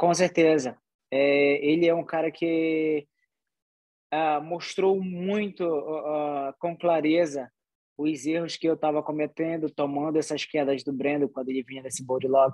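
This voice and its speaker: In an unremarkable speaking voice, a man talks at a fairly slow pace and fairly high pitch, with fairly even intonation. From Pará, Brazil (Soure, Marajó). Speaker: MMA fighter. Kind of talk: interview.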